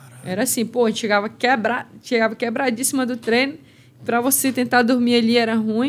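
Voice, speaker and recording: Speaking at a fairly quick pace, a woman uses a high pitch with fairly even intonation. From Amazonas, Brazil. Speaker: MMA fighter; guest. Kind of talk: casual chat. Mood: reflective storytelling. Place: studio. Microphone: studio mic.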